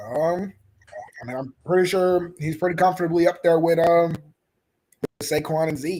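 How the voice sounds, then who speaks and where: The speaker talks at a moderate pace in a monotone, flat intonation, broken by long, frequent pauses. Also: man, high pitch for a man. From Louisville, Kentucky. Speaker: football analyst co-host. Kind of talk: casual chat. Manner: halting, many fillers.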